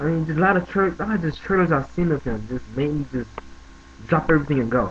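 A man talks at a very fast pace with lively intonation. Light background noise can be heard. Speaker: vlogger. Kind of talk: casual talk to camera. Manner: casual, conversational. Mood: tribute, half joking, smiling. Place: home room. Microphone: webcam.

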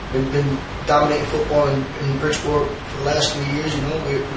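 A man speaks at a fairly quick pace in a flat monotone, with audible room echo and clear background noise. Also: fairly high pitch for a man.

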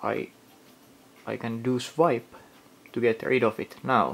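A man with a medium pitch and vocal fry speaks at a very slow pace, varying his pitch in an ordinary way. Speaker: video blogger ranting about a phone. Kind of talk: angry rant. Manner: sarcastic, exasperated, swearing; sweeping, emphatic, complaining. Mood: annoyed, critical. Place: home room.

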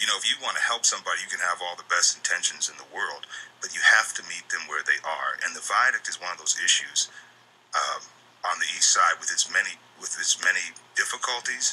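A man at a fairly quick pace, with big swings in loudness. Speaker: interview guest. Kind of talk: interview answer.

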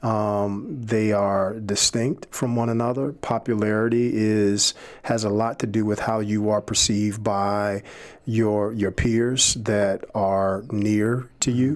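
A man with an American accent at a very slow pace, fairly low in pitch, monotone and flat, at very even loudness against a quiet background. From Chicago inner city. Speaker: seminary admissions director; podcast guest. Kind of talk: casual faith discussion. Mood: calm, reflective, faith-based. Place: studio. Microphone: studio mic.

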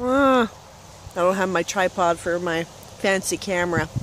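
A woman in a Western Canadian accent, fairly low-pitched, at a moderate pace with ordinary pitch variation, dry sound with no echo and light background noise. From Canada, northern British Columbia. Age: 20s. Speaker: vlogger. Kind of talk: casual vlog while eating. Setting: outdoors by a lake. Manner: halting, many fillers. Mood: relaxed, cheerful. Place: waterside. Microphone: phone near.

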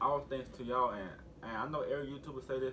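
A man at a fairly quick pace over light background noise. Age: 20s. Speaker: YouTube vlogger. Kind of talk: casual vlog talk to camera. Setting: at home with family in background. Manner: animated. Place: home room. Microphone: camera far.

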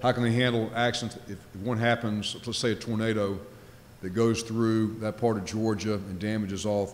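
This man talks at a moderate pace with a monotone, flat intonation. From Louisiana. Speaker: nuclear regulator, former naval officer; keynote speaker. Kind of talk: conference keynote speech. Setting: stage with audience. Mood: light humor early on. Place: hall. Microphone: podium.

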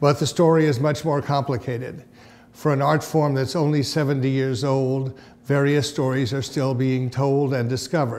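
The speaker holds a monotone, flat intonation at a moderate pace. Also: man. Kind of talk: informative presentation to camera.

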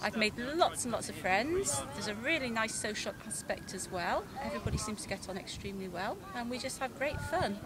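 A woman talks at a fairly quick pace, her dry sound free of echo but set against noticeable background noise. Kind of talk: interview answer. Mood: cheerful, enthusiastic. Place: open country.

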